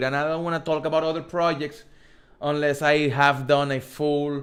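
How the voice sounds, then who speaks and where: A man speaks with a strong Spanish accent. His pace is moderate. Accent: thick Spanish. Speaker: crypto streamer. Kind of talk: live stream Q&A. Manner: casual, halting with repeated words.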